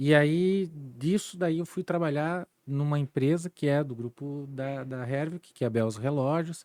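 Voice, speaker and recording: A man with a normal speaking voice talks at a fairly slow pace, his pitch fairly high with ordinary variation. The sound is dry and close, with no echo. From Santa Catarina, Brazil (Timbó, Vale do Itajaí). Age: 40s. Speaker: entrepreneur and former service club district governor. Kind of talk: interview conversation. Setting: podcast studio.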